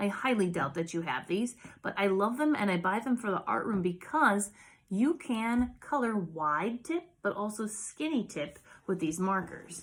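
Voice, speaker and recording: Somewhat breathy, a woman speaks at a medium pitch and a fairly slow pace. Her pitch swings very widely. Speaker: art teacher. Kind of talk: tutorial. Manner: casual, animated.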